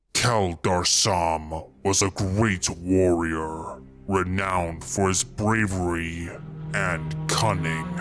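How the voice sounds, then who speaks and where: Put-on character voice from a man, very deep and low, delivered very slowly with music in the background. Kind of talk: solemn saga storytelling. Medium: solo performance. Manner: proud, measured, commanding.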